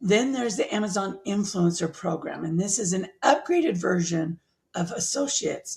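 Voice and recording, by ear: A woman puts on a character voice that is raspy and hoarse at a medium pitch. She speaks at a moderate pace with lively intonation.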